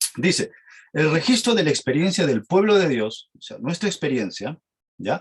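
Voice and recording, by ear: A man with a fairly high pitch and a husky, rough edge speaks at a moderate pace, his pitch swinging widely.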